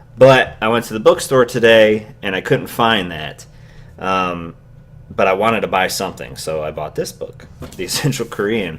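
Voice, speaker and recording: Mumbling at a moderate pace, a man speaks at a fairly low pitch with lively intonation and big swings in loudness. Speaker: YouTuber. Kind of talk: vlog monologue. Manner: casual, hesitant with fillers.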